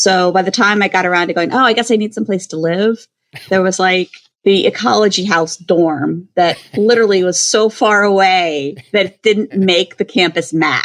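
A woman speaks at a medium pitch and moderate pace, with ordinary pitch variation. She has a plain, everyday voice. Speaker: food service consultant. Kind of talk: casual interview.

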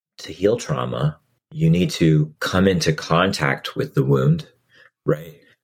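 Very deep, low male voice with an American accent, lively intonation, vocal fry, a very slow pace and long, frequent pauses. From Massachusetts, US. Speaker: author and event founder. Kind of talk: interview conversation.

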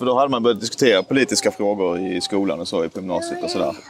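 Very fast speech with lively intonation over music in the background. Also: man. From southern Sweden, Skåne (Ystad). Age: 20s. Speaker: member of parliament. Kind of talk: interview. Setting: outdoors.

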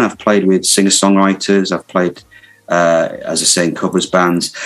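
A man speaks at a moderate pace. There is noticeable background noise behind him. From Hull, Yorkshire. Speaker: guitarist and music teacher. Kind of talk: casual chat.

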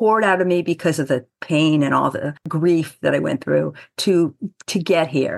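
A woman with a fairly low pitch and vocal fry speaks at a fairly slow pace with ordinary pitch variation against a quiet background. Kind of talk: interview.

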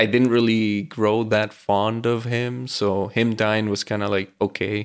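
A man speaks at a medium pitch with a Venezuelan accent. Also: very clean recording, silent background. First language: Spanish. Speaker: mechanical engineer and podcast co-host. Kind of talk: casual chat.

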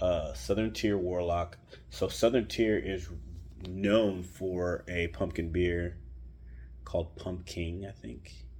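A man speaks very slowly in a very deep, low voice that is somewhat breathy, with lively intonation. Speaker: beer podcast host. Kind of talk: casual solo monologue. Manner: conversational with frequent fillers.

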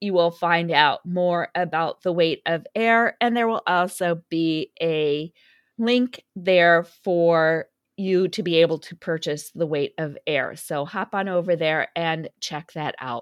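Against a quiet background, a woman speaks at a very slow pace with a fairly low pitch and ordinary pitch variation, the sound dry and close with no echo. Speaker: podcast host and author. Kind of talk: interview, casual chat.

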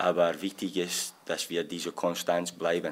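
The speaker talks at a very slow pace in a Scottish accent. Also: man. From Scotland. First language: English (speaking German). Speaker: football assistant coach. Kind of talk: press conference. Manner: halting.

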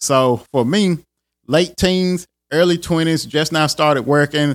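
A man's plain, everyday voice at a moderate pace with ordinary pitch variation, on a very clean recording against a silent background. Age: 40s. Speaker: podcast host and IT professional. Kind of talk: casual solo podcast talk. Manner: informal, conversational.

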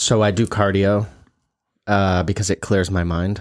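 A man speaks in a normal speaking voice, fairly low in pitch and at a fairly slow pace, with fairly even intonation. The recording is very clean, with a silent background. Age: 40s. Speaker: podcast co-host, salon business owner. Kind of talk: casual chat.

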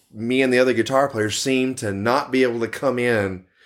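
A man at a moderate pace and medium pitch with ordinary pitch variation, in a very clean recording with a silent background. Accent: Texan. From Texas, Dallas. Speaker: tribute band guitarist. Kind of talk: casual interview.

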